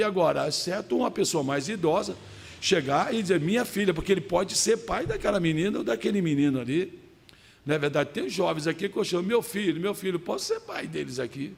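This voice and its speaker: A man with a high pitch and ordinary variation in it talks fairly quickly. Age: 60s. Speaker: pastor. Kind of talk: sermon. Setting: church service.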